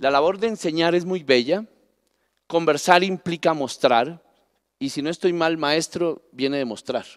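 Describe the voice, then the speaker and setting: A man speaks at a fairly slow pace in a fairly high voice. The background is quiet. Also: ordinary pitch variation. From Colombia, Pasto (Nariño). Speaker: national parks director. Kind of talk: panel talk. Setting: stage with audience. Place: stage. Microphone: handheld.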